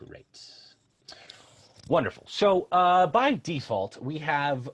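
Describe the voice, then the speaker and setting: A man's pitch swings very widely. He speaks at a fairly slow pace in a somewhat breathy voice. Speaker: customer success team member presenting software. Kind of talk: software tutorial webinar. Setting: online webinar. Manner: hesitant, many fillers.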